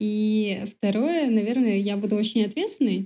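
Somewhat breathy and fairly high in pitch, a woman speaks at a moderate pace on a very clean recording with a silent background. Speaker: PR manager. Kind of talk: casual interview chat.

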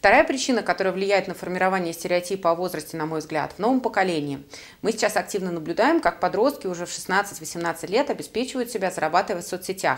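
Lively intonation marks this very fast speech. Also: woman, medium pitch for a woman. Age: 30s. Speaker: career coach and podcast host. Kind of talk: solo podcast monologue.

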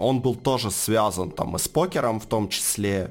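A man's fairly low voice at a very slow pace, with ordinary pitch variation. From Ukraine, Donetsk. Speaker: marketing agency co-owner. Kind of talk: casual interview. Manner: hesitant, many fillers.

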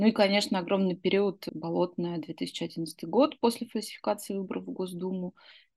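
A woman with a plain, everyday voice at medium pitch, ordinary pitch variation, a moderate pace and hardly any pauses. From Russia, Izhevsk. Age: 30s. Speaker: former opposition activist. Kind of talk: personal recollection.

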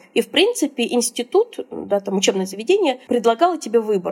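Talking at a fairly quick pace with lively intonation, a woman sounds dry and close with no echo, though noticeable background noise is present. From Russia. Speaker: SEO specialist. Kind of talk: interview. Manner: casual.

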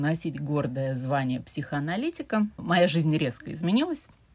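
A woman with a St Petersburg accent and a very deep, low pitch, on a very clean recording with a silent background. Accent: Russian (St Petersburg). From Russia, St Petersburg. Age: 40s. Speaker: podcast guest, host's mother. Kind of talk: casual chat.

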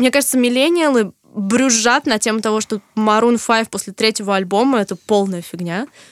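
A woman with an unremarkable speaking voice talks at a moderate pace and a fairly high pitch with ordinary pitch variation, in a dry, close sound with no echo. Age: 20s. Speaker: podcast co-host. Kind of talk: casual chat.

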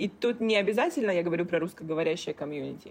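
A woman speaks at a medium pitch and a fairly quick pace. It is a plain, everyday voice. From Russia, Kaliningrad. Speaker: business coach. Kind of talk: casual interview chat. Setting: remote call.

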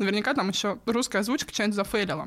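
This woman speaks with a fairly high pitch. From Russia, Tula. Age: late 20s or 30. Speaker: pop culture fan sharing personal story. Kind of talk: casual interview, personal story. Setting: studio.

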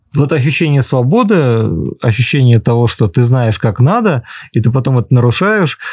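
Over a quiet background, a man with a dark, mellow tone speaks at a moderate pace, the sound dry and close with no echo. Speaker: writer. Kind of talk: casual interview answers.

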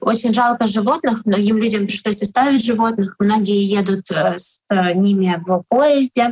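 A somewhat breathy woman at a fairly high pitch, fairly slow in pace and very even in loudness, with a dry, close sound and no echo. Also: ordinary pitch variation. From Ukraine, Kharkiv. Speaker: online shop owner. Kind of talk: interview. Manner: hesitant, filler sounds.

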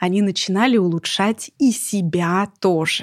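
A plain, everyday voice from a woman, with ordinary pitch variation, in a very clean recording with a silent background and a dry, close sound with no echo. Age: 30s. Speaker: podcast host, former TV presenter. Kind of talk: scripted narration; casual chat. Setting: studio.

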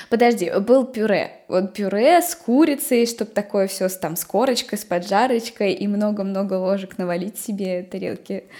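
A woman talks in an ordinary speaking voice at a medium pitch and moderate pace, with ordinary pitch variation. Her loudness shifts in big swings. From Nizhny Novgorod region, Russia. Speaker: podcast host. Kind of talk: casual chat.

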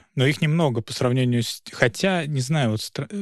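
A man talks at a moderate pace with fairly even intonation, in a plain, everyday voice. The recording is very clean, with a silent background. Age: young. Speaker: lawyer and podcast host. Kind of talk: casual discussion.

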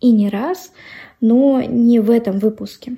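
This woman's voice sits fairly high in pitch, with a dark, mellow tone and ordinary pitch variation. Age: 20s. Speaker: podcast host. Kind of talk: monologue.

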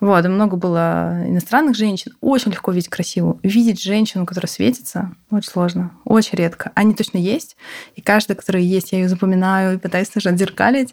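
A woman talks in a normal speaking voice at a medium pitch. Her pitch varies in an ordinary way, and her pace is fairly quick. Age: 30s. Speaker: healthcare company CEO. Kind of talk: interview conversation.

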